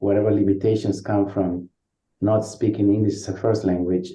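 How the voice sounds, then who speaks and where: Somewhat breathy and fairly low-pitched, a man with a Spanish accent speaks in a monotone, flat intonation. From Uruguay. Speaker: social work professor. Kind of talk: interview. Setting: podcast. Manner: halting, with frequent repetitions.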